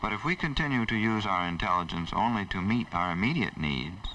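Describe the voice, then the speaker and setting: Speaking at a fairly quick pace with lively intonation, a man uses an ordinary speaking voice pitched fairly low. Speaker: nature center executive director. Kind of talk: documentary narration.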